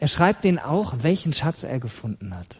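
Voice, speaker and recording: A man speaks at a moderate pace in a somewhat breathy voice. The sound is dry and close, with no echo. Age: 40s. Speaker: pastor. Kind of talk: sermon.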